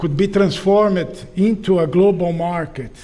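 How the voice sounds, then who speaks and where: A high-pitched man's voice with a non-native accent and fairly even intonation, amid audible room echo and noticeable background noise. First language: not English. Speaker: professor. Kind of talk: lecture. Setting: auditorium with audience. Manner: halting, with many fillers.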